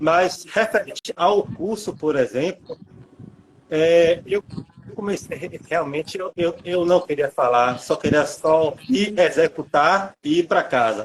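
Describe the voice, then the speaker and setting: Here a man speaks at a very slow pace. His pitch is high, with ordinary variation. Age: 30s. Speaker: phone repair technician, course student. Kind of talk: interview testimony. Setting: online live stream. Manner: halting.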